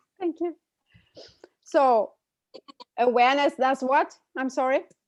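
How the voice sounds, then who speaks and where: A woman with a German accent talks at a high pitch and fairly slow pace, with ordinary pitch variation. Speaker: interpreter and co-host. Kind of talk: live interpreting. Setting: video call.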